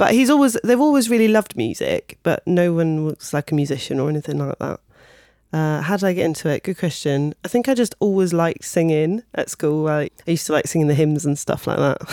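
Lively intonation and a dark, mellow tone at a fairly quick pace, in a dry, close sound with no echo. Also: woman, fairly low pitch for a woman, very clean recording, silent background. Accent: southern English. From Kent, southeast England. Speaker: singer, pianist and vocal coach. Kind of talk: casual interview.

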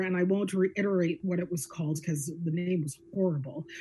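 Speaking at a very fast pace in a Canadian accent, a woman has a fairly low pitch, a dark, mellow tone, fairly even intonation and a somewhat breathy sound. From Canada, Guelph, Ontario. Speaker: media company CEO and investor. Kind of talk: casual interview. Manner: frequent hesitations with um.

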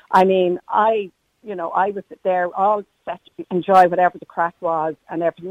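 A woman speaks with an Irish accent and a fairly low pitch. The sound is dry and close, with no echo. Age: 60s. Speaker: caller. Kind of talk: casual chat. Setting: phone call.

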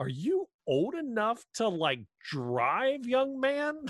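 A man does a put-on character voice at an extremely high pitch. He speaks at a very slow pace.

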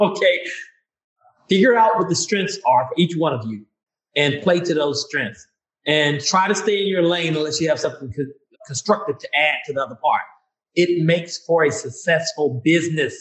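With a Mississippi accent, a man talks at a moderate pace and high pitch, his intonation lively. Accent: Southern US (Mississippi). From US South, Vicksburg, Mississippi. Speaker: author and retired Air Force medic and nurse. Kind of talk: interview.

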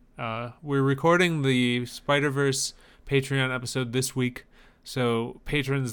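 A man with a normal speaking voice talks at a fairly slow pace, his medium pitch held in fairly even intonation, on a very clean recording with a silent background. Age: 30s. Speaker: podcast co-host. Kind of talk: casual chat.

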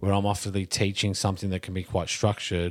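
A man with an Australian accent and a very deep, low pitch on a very clean recording with a silent background. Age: 30s. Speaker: movement and fitness practitioner. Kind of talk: casual chat.

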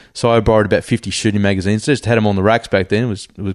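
Against a quiet background, a speaker with an Australian accent talks with fairly even intonation. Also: man. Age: 40s. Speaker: hunter and army reservist. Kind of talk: casual interview chat. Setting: at home, in person.

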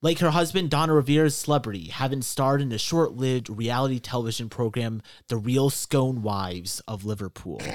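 A plain, everyday voice from a man of medium pitch, fairly quick with hardly any pauses and lively intonation, on a very clean recording with a silent background. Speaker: game master. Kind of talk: tabletop role-play session.

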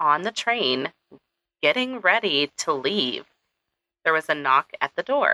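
Bright and sharp in tone, this playful voice moves at a fairly slow pace with very wide pitch swings and long, frequent pauses, recorded dry and close with no echo. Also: woman. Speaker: podcast host. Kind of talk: true-crime narration. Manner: conversational, storytelling tone with dry sarcasm and playful asides.

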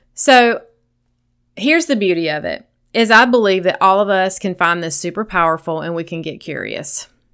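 In a Southern US accent, the speaker talks at a moderate pace with big swings in loudness. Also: woman, medium pitch for a woman, lively intonation, very clean recording, silent background. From US South. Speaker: sobriety coach and podcast host. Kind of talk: solo podcast monologue. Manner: gentle, lighthearted.

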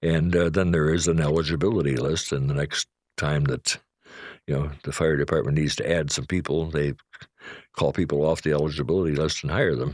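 In a very clean recording with a silent background, a man with an American accent speaks fairly quickly in a very deep, low voice with vocal fry and fairly even intonation. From Chicago, southeast side. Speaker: local historian. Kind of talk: interview. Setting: in person.

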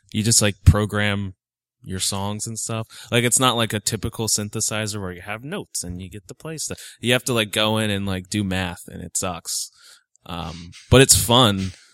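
Recorded dry and close with no echo and a silent background, a man with a fairly low pitch talks at a moderate pace, his loudness swinging widely. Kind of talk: casual interview chat. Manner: monotone-sounding by own account, tries to sound excited.

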